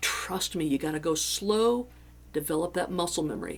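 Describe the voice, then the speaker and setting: Vocal fry marks this woman's fairly low voice. She keeps a moderate pace. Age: 60s. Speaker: guitar teacher. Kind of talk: tutorial. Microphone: audio may sound distorted or buzzy.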